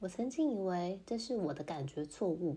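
This woman's medium-pitched voice has a dark, mellow tone, moving at a fairly slow pace with lively intonation. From Taiwan. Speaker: podcaster, mother in intercultural marriage. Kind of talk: casual monologue.

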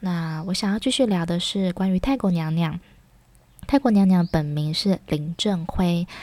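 At a fairly slow pace, a woman speaks in a dark, mellow tone with a fairly low pitch. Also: ordinary pitch variation. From Taiwan. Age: 30s. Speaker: podcast host, former teacher in Thailand. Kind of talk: casual monologue.

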